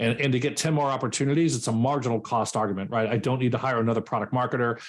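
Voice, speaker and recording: Talking at a very fast pace, a man keeps fairly even intonation and very even loudness. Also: medium pitch for a man. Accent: American. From New York, Westchester. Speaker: sales and SaaS expert, workshop speaker. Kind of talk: live workshop Q&A.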